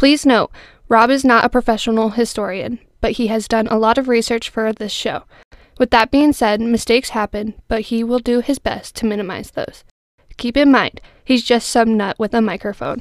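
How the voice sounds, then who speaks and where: A woman with an unremarkable speaking voice talks at a moderate pace and fairly high pitch, her intonation fairly even, in a dry, close recording with no echo. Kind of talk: scripted disclaimer announcement. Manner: formal, serious announcer tone.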